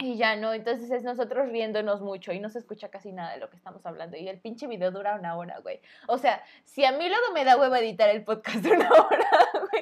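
Someone speaks very fast with lively intonation and big swings in loudness, against noticeable background noise. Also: woman, fairly high pitch for a woman. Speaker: podcast co-host. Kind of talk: casual chat. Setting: home recording, street vendors pass by.

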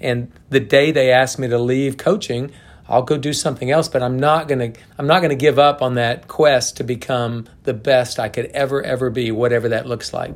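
With an American accent, a man speaks in a normal speaking voice at a medium pitch, using fairly even intonation and a moderate pace. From Oklahoma. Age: 60s. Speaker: college golf coach. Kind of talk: interview.

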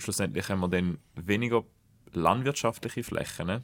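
A man with an unremarkable speaking voice, fairly low in pitch, talks at a moderate pace with ordinary pitch variation. The recording is very clean, with a silent background. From Switzerland, Schaffhausen. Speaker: podcast host. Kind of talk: podcast interview.

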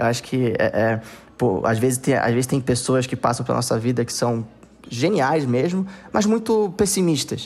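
At a moderate pace, a man of medium pitch speaks with lively intonation and very even loudness, leaving long, frequent pauses. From Brazil, Manaus (Amazonas). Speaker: tech entrepreneur, company founder. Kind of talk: podcast interview. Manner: halting, many repeated fillers.

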